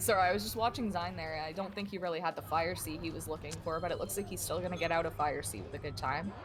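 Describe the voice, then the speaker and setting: A woman talks very fast at a fairly low pitch with very wide pitch swings and hardly any pauses. Music plays in the background, and the room echo is audible. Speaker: esports co-commentator. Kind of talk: live commentary. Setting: live stream.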